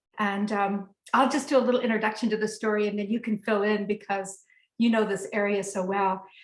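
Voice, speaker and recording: A woman with an American accent has an ordinary speaking voice, fairly high in pitch with fairly even intonation. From United States. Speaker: herbalist and trip leader. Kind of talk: storytelling in a webinar conversation. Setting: webinar.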